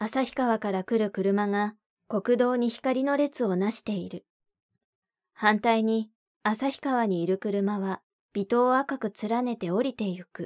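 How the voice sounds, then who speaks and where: A woman speaks very slowly in a calm tone, with fairly high pitch and ordinary pitch variation. The recording is very clean and dry, close and echo-free, with a silent background. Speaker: audiobook narrator. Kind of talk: literary audiobook reading, scripted narration of a novel. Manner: calm, measured, even-paced narration.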